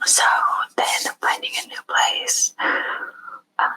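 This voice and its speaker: Whispering in a dry, close sound with no echo. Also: woman. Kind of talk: ASMR true crime recap. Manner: whispered; casual, rambling.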